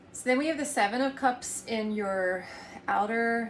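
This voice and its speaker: Audible room echo surrounds a woman talking at a fairly slow pace with ordinary pitch variation. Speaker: tarot reader and energy healer. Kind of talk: tarot reading. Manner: soft-spoken; halting.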